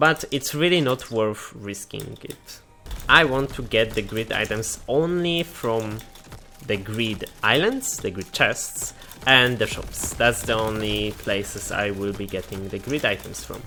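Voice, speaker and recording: A man with a non-native accent speaks at a fairly slow pace and medium pitch. Noticeable background noise runs underneath. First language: not English. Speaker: gaming youtuber. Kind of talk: gameplay commentary. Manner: halting, with self-corrections.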